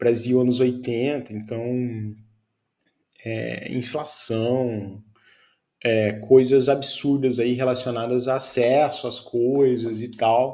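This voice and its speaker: Against a quiet background, a man speaks at a very slow pace. His pitch is medium, and his intonation is monotone and flat. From Paraná, Brazil (Cascavel, western Paraná); Paraná, Brazil. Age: 40s. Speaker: political YouTuber. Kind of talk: casual monologue to camera. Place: home room.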